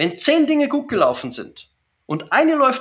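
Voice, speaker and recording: Speaking with a Bavarian accent, a man has a bright, sharp tone and very wide pitch swings at a fairly slow pace. The recording is very clean, its background silent. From Bavaria, Germany. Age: 40s. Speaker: business coach. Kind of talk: interview.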